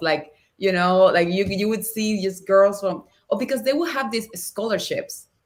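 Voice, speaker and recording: A woman speaks at a moderate pace with a Spanish accent. Her pitch is medium, with ordinary variation. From Cuba, Havana. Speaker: actress and dancer. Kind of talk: podcast interview. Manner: animated.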